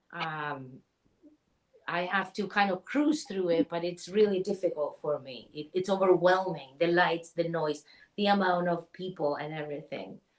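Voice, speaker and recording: A woman with a Chilean accent talks at a moderate pace in a fairly low pitch. Her loudness swings widely while her pitch varies in an ordinary way. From Chile, Santiago. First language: Spanish. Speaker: spiritual healer. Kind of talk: interview.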